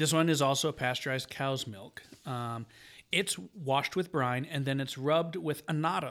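Over a silent background in a very clean recording, a man with an unremarkable speaking voice talks at a fairly high pitch for a man. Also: ordinary pitch variation, moderate pace. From Michigan, US. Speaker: podcast co-host. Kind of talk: casual chat. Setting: studio.

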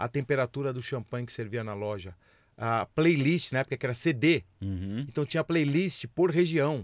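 A man with an ordinary speaking voice talks at a moderate pace with lively intonation. The very clean recording has a silent background and a dry, close sound with no echo. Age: 50s. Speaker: business executive and entrepreneur. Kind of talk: interview.

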